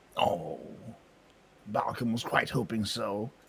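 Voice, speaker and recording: Using a put-on character voice, a man talks at a fairly slow pace with a raspy, medium-pitched sound. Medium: actual play. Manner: simple, third-person speech.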